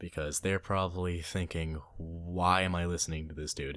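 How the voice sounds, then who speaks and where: This man has an American accent and a very deep, low voice. He keeps a moderate pace. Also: very clean recording, silent background. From US South. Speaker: podcast co-host. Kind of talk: casual chat.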